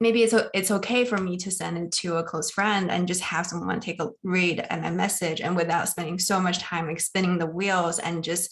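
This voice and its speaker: A woman's fairly low voice with a non-native accent and fairly even intonation. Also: moderate pace, hardly any pauses. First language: not English. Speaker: consulting manager, townhall participant. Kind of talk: personal sharing in Q&A. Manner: halting, repeats words.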